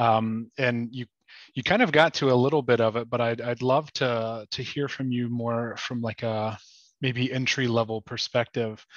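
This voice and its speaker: An ordinary speaking voice, a man at a medium pitch with fairly even intonation and a moderate pace. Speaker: physical therapy student. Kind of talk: audience question.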